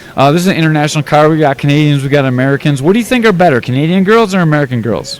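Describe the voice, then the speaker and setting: A man speaks very fast and fairly high, with hardly any pauses, lively intonation and very even loudness. Noticeable background noise runs underneath. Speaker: fight interviewer. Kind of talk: interview. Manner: casual, joking.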